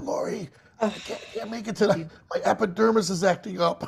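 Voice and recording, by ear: A raspy put-on character voice at a fairly high pitch and a moderate pace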